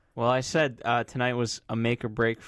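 On a very clean recording with a silent background, a man with a plain, everyday voice speaks at a moderate pace in a medium pitch. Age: 20s. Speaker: TV recap podcast co-host. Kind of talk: casual chat. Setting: studio.

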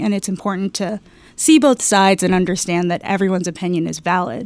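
The voice moves at a fairly quick pace with ordinary pitch variation, on a very clean recording with a silent background. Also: woman. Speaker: HR recruiting staff. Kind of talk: casual interview. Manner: animated.

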